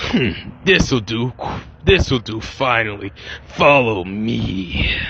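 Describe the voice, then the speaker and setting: Over clear background noise, a man does a put-on character voice at a very slow pace with lively intonation. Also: medium pitch for a man. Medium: solo performance. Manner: menacing, terse.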